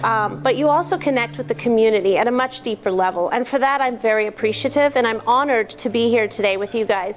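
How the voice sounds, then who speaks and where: Noticeable background noise surrounds a woman whose fairly high voice shows ordinary pitch variation. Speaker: business association co-founder. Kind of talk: speech to a club meeting. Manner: loud.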